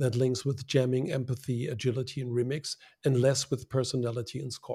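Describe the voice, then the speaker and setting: A man speaks in a German accent at a medium pitch. His delivery is fairly slow and somewhat breathy. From Germany. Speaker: design consultant. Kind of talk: casual interview.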